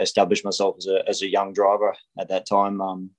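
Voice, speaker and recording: A man with an Australian accent speaks at a moderate pace in a fairly low voice against a quiet background. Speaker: racing driver. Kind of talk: interview. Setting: phone call. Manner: halting with fillers.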